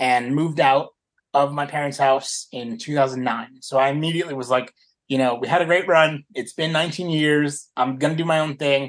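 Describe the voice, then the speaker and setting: A man with an American accent has an ordinary speaking voice and a fairly high pitch. He speaks at a moderate pace over a quiet background. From US South. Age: 30s. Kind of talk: interview.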